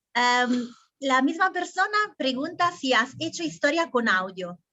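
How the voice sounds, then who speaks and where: Speaking at a fairly slow pace, a woman with an Italian accent has a high pitch and lively intonation. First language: Italian (speaking Spanish). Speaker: interviewer. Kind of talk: interview.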